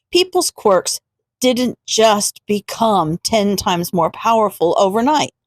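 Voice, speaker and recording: A woman talks very slowly with very wide pitch swings and very even loudness, in a dry, close sound with no echo. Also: fairly high pitch for a woman. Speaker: audiobook narrator. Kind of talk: read story.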